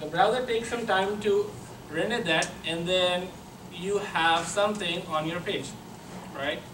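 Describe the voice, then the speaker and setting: A man with a high pitch and ordinary pitch variation speaks at a fairly slow pace with long, frequent pauses, amid noticeable background noise and audible room echo. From Pakistan. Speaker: software engineer, conference speaker. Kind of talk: conference talk. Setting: stage with audience.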